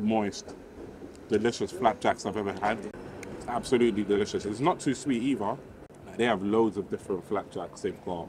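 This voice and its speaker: Against noticeable background noise, a man with a fairly low pitch and ordinary pitch variation speaks at a moderate pace with long, frequent pauses, the sound dry with no echo. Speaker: food vlogger. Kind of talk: casual vlog chat. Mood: enthusiastic. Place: street. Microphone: phone near.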